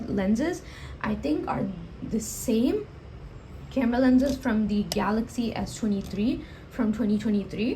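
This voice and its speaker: A woman talks fairly slowly, and audible room echo hangs on her words. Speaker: tech reviewer. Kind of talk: product review. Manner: halting, many self-corrections.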